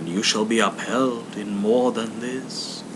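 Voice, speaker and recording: A soft-spoken man in a put-on character voice at medium pitch, fairly slow, under loud background noise. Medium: read story. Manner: calm, solemn, distant-sounding.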